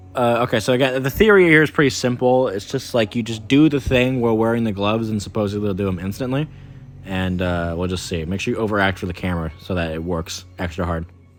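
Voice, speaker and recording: The speech races along at a very fast pace with lively intonation, against noticeable background noise. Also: man, fairly low pitch for a man. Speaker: miniature painting hobby youtuber. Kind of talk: casual vlog monologue. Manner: hesitant, stammering.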